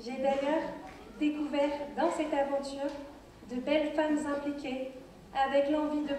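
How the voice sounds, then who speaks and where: Fairly slow, monotone speech with flat intonation, noticeable background noise and audible room echo. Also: woman. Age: 20s. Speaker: beauty pageant contestant. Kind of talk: prepared speech. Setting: stage with audience.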